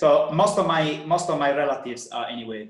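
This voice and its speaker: A man talks in an Italian accent at a moderate pace with ordinary pitch variation. Room echo is audible. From Italy (Sardinia). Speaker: personal trainer. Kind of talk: podcast interview. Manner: halting.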